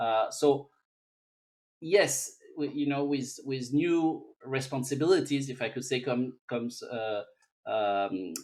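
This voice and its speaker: A man speaks at medium pitch with ordinary pitch variation. His pace is very slow, broken by long, frequent pauses. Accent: French. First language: French. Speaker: technology expert. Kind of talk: interview. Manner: halting.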